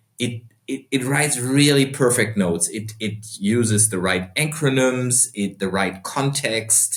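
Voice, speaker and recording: This man speaks with a German accent. His medium-pitched voice shows ordinary pitch variation. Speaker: entrepreneur and investor. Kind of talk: podcast interview.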